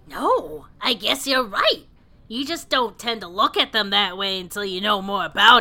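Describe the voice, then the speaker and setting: Putting on a character voice, a woman speaks at a moderate pace with lively intonation and a medium pitch. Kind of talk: melodramatic fan-fiction reading. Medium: read story. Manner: earnest, explanatory, dryly teasing.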